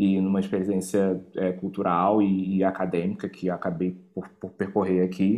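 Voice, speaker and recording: A man talks at a fairly slow pace. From Brazil, Rio de Janeiro. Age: 30s. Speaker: activist and cultural organizer. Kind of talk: interview. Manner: halting, many repetitions and fillers.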